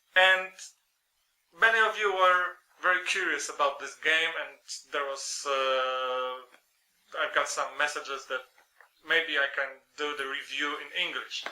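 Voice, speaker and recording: The speech moves at a fairly slow pace with long, frequent pauses. Loudness swings widely while the pitch varies in an ordinary way. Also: man, fairly high pitch for a man. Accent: Polish. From Poland. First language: Polish. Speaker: board game reviewer. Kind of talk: review. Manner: halting, many fillers.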